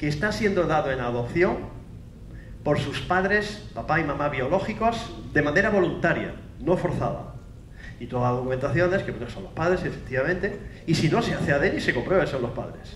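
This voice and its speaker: Audible room echo and noticeable background noise surround a man whose fairly high voice moves at a fairly quick pace. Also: lively intonation. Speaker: forensic scientist, university professor. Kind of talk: conference lecture. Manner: fast.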